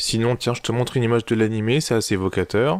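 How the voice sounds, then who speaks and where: A man with a medium pitch and ordinary pitch variation speaks very fast, recorded very cleanly against a silent background. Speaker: anime reviewer. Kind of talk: casual video review. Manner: improvised, animated.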